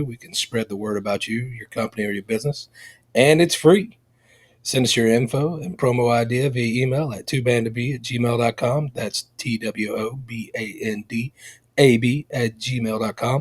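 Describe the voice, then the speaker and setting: On a very clean recording with a silent background, a somewhat breathy man of medium pitch speaks at a moderate pace, the sound dry and close with no echo. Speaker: podcast host. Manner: promo read.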